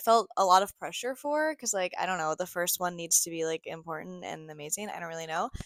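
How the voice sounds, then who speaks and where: Speaking at a fairly quick pace in a normal speaking voice, a woman with an American accent has a medium pitch and ordinary pitch variation, the sound dry and close with no echo. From Ohio, USA. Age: 20s. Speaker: podcast host. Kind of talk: casual podcast talk. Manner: chatty, upbeat.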